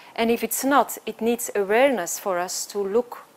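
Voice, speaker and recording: A woman's fairly slow speech in a Flemish accent, with lively intonation. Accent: Flemish Belgian. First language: Dutch (Flemish). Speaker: choreographer and dancer. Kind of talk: conference talk.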